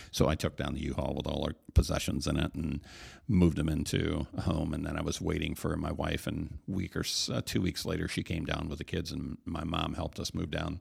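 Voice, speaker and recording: In an American accent, a man speaks with a very deep, low pitch and vocal fry. His pace is fairly quick and his intonation fairly even. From US Midwest, Michigan. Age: 50s. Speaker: pastor. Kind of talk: casual chat.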